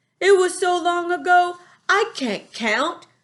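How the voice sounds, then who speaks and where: A man puts on a character voice at an extremely high pitch, playful in tone. He goes at a fairly slow pace over a quiet background. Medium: read story. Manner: ungrammatical, playful word-mangling.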